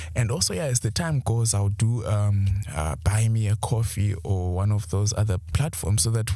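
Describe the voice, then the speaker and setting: This man's voice is somewhat breathy. He talks fairly slowly. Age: young. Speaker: podcast host. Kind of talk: solo podcast monologue. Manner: halting, with many fillers; mumbling.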